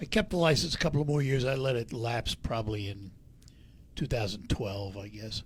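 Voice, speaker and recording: Somewhat breathy and at medium pitch, a man talks at a fairly quick pace with ordinary pitch variation. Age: 80s+. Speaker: radio host. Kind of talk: radio interview.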